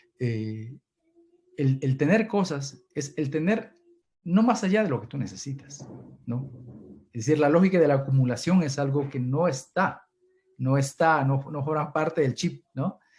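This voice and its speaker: A man speaks at a fairly slow pace, with long, frequent pauses. His fairly high voice is somewhat breathy, with lively intonation. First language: Kichwa (runashimi) (speaking Spanish). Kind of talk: Q&A answer in online seminar. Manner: halting, many repetitions.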